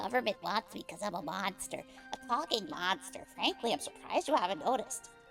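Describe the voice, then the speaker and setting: Clear music plays behind a put-on character voice. The voice is fairly high in pitch and moves at a fairly quick pace. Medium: game stream. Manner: earnest, paranoid.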